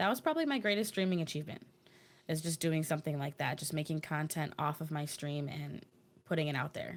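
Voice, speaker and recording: At a very fast pace, a woman speaks with a very deep, low pitch and ordinary pitch variation, in a very clean recording with a silent background. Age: young. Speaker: streamer. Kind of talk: casual interview.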